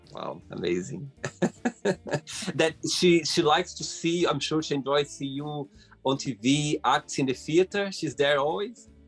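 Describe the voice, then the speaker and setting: With music playing behind, the speaker uses lively intonation at a fairly slow pace. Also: man, fairly high pitch for a man. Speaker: talk show host. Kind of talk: interview questions.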